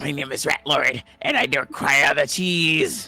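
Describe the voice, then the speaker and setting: Using a put-on character voice, a man speaks fairly slowly at a fairly high pitch. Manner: gruff, comic, demanding.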